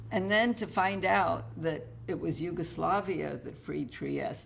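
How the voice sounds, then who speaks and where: A woman's moderate-paced speech carries audible room echo. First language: Russian. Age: 70s. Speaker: author. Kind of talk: interview.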